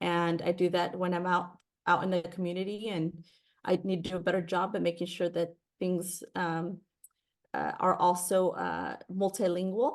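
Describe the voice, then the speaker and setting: A woman with a Spanish accent speaks at a fairly low pitch and moderate pace in a monotone, flat intonation. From California Central Valley (Fresno). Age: 30s. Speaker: political candidate. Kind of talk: Q&A interview. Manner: halting, repeats words.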